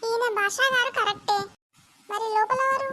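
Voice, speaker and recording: In a squeaky, cartoonish character voice, a woman speaks at a moderate pace with an extremely high pitch. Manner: excitable, fast, whiny.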